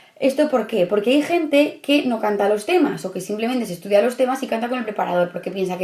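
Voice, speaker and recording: Over noticeable background noise, a woman with a fairly high pitch speaks at a very fast pace with lively intonation. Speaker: study coach for civil service exam candidates. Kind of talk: tutorial.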